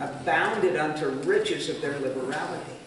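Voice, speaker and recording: The speech moves at a moderate pace, with light background noise and audible room echo. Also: man. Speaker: missionary. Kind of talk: Sunday school Bible teaching. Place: hall. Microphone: camera far.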